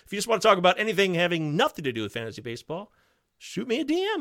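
A man's raised, projected voice, bright and sharp in tone, at a very fast pace, in a dry, close sound with no echo. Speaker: fantasy baseball podcaster guest. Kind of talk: casual chat. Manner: loud, talkative.

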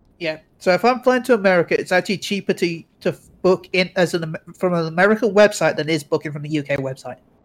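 A high-pitched man's voice in an English accent at a very fast pace, with a dry, close sound and no echo. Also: ordinary pitch variation. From England. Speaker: guest co-host, streamer. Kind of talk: casual chat.

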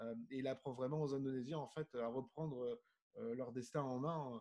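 Speaking fairly slowly, a man uses a dark, mellow tone at medium pitch with monotone, flat intonation. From southern France (Nice). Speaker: diving magazine publisher and underwater photographer. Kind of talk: casual interview.

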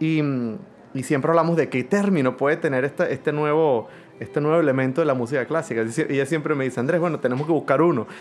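A man with a fairly high pitch talks at a very fast pace, with ordinary pitch variation and very even loudness. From Venezuela. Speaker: orchestra conductor. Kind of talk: interview. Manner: halting.

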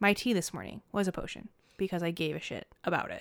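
An ordinary speaking voice, a woman at a medium pitch and fairly quick pace, very clean recording with a silent background. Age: 30s. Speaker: podcast co-host. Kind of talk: casual chat.

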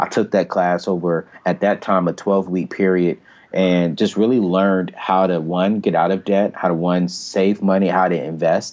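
A man speaks in a very deep, low voice with monotone, flat intonation. His pace is moderate, with hardly any pauses. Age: 30s. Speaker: personal finance speaker and author. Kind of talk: interview. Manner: casual, many fillers.

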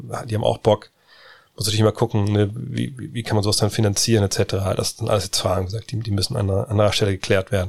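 A man's fairly low voice with vocal fry and ordinary pitch variation. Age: middle-aged. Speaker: podcast host. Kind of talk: casual Q&A chat.

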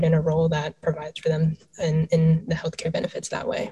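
Speaking at a fairly quick pace with an American accent, a woman's somewhat breathy, fairly low voice holds a monotone, flat intonation. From Maryland, US. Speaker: startup founder and CEO. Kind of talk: panel discussion.

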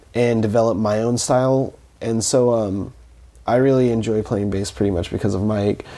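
The voice has a dark, mellow tone. It comes with a Californian accent. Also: man. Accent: Californian American English. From Southern California (Fontana). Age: 20s. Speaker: musician. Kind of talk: interview conversation. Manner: halting, with many fillers.

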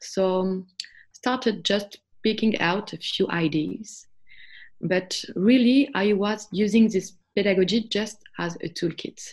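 A woman's somewhat breathy voice at a very slow pace, with ordinary pitch variation. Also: medium pitch for a woman. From France. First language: French. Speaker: homeschooling mother. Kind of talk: interview.

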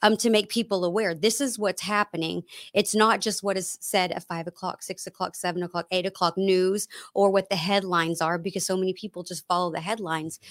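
A woman with a normal speaking voice talks at a fairly quick pace and medium pitch. The recording is very clean with a silent background and a dry, close sound with no echo. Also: fairly even intonation. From Texas, Dallas area. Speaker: political activist. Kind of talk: casual interview. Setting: home studio.

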